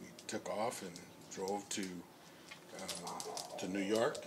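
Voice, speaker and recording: A man with an American accent, fairly low in pitch, flat and monotone, at a very slow pace, with audible room echo. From US South and military moves (Alabama, Germany). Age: 70s. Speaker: retired high school teacher. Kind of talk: casual interview. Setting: outdoors in a backyard.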